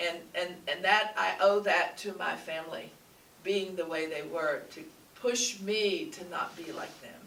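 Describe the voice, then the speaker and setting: With lively intonation and big swings in loudness, a woman speaks fairly slowly. Audible room echo and noticeable background noise surround her. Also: medium pitch for a woman. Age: 70s. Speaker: spiritual teacher. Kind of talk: sermon. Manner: animated.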